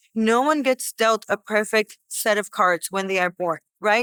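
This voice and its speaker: In a Boston accent, a bright, sharp voice moves at a moderate pace with fairly even intonation on a very clean recording with a silent background. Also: woman, dry, close sound with no echo. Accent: American, Boston area. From Boston, US. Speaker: podcast host, manifesting coach. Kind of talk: casual monologue. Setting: indoors.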